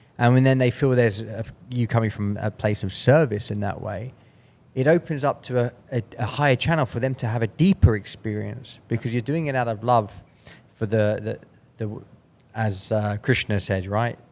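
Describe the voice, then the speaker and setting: Here a man speaks at a medium pitch. His pitch variation is ordinary. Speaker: podcast host. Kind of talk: casual interview chat. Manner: fast.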